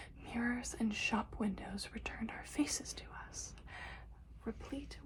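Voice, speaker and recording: Whispering softly, a woman talks at a fairly slow pace. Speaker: ASMR creator. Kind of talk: poetry reading. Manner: soft-spoken, whispering.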